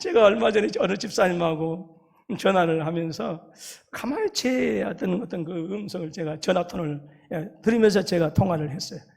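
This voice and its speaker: A man with a strong Jeolla accent speaks at a moderate pace in a high voice, with ordinary pitch variation and big swings in loudness. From South Korea, Jeolla (Haenam). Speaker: pastor. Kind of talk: sermon.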